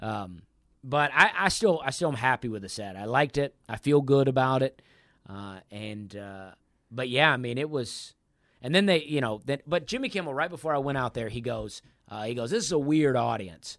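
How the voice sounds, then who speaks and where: This man has an ordinary speaking voice, medium in pitch, with lively intonation and big swings in loudness at a moderate pace. The recording is very clean, with a silent background. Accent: American. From US South, Alabama (Opelika). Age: 30s. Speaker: stand-up comedian. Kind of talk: casual interview chat.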